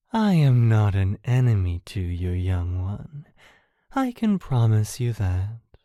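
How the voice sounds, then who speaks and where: A low-pitched, put-on character voice goes at a fairly slow pace in a very clean recording with a silent background. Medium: audio drama. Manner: calm, cryptic, serene.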